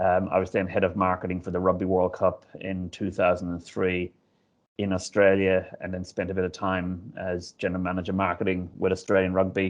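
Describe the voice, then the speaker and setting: A man's very deep, low voice in an Irish accent, monotone and flat. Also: fairly quick pace. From Ireland. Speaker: stadium CEO. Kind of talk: interview. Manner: hesitant, many fillers.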